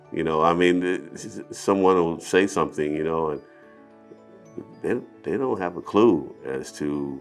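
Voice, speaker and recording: A man speaks with an American accent at a fairly slow pace. Music plays in the background. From South Central Los Angeles. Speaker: city councilman, Air Force veteran. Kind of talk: interview answer. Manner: casual, conversational with hesitations.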